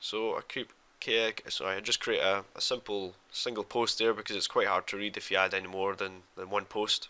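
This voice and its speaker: A man with a fairly low pitch speaks at a moderate pace in a monotone, flat intonation, his tone bright and sharp yet relaxed. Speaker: 3D environment artist. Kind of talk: tutorial narration over screen recording. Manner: casual, relaxed, hesitant.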